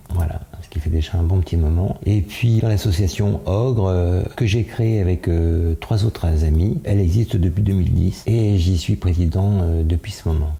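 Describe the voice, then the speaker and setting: A man with a very deep, low voice talks at a moderate pace with hardly any pauses, very even loudness and ordinary pitch variation over noticeable background noise. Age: 70s. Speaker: association president. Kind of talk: interview. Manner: hesitant, many fillers.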